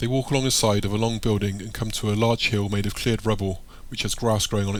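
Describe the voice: The text is given plain reading aloud. Nothing more is layered onto the delivery.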